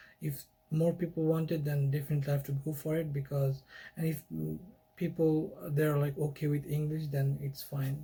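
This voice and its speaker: A man with a Bengali accent, fairly high-pitched and somewhat breathy, with a dark, mellow tone, monotone, flat intonation and a moderate pace. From Bangladesh. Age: 20s. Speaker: YouTuber. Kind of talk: casual monologue. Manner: halting.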